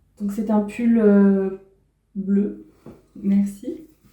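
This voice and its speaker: A woman's somewhat breathy voice with a dark, mellow tone, very slow in pace, in audible room echo. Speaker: sewing and knitting YouTuber. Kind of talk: casual vlog talk.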